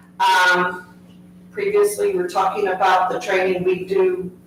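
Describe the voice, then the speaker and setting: A woman at medium pitch speaks at a moderate pace, with audible room echo and noticeable background noise. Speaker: school support staff union member. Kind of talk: public comment at board meeting. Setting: board meeting room, live stream. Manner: loud.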